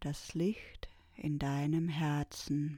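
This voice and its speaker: A woman speaks at a very slow pace with fairly even intonation. The sound is dry and close, with no echo. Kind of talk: guided meditation, calm spoken instructions. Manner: slow, soft-spoken, soothing, with long pauses.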